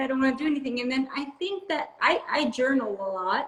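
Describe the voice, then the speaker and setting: Speaking at a fairly quick pace, a woman uses a high pitch. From Brazil. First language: Portuguese. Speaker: health coach and podcast host. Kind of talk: interview.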